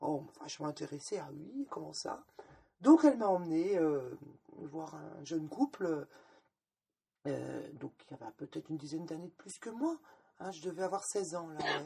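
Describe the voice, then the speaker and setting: A woman's fairly low voice, dark and mellow in tone with vocal fry, lively in intonation, swinging widely in loudness and broken by long, frequent pauses. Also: moderate pace. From Lorraine, France. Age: 50s. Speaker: former sect member. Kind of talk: testimony. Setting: at her home. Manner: hesitant, repeats words.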